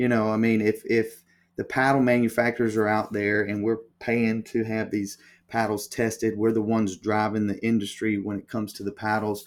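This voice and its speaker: A man with a Southern US accent on a very clean recording with a silent background. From US South, Alabama. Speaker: paddle company co-founder. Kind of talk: interview.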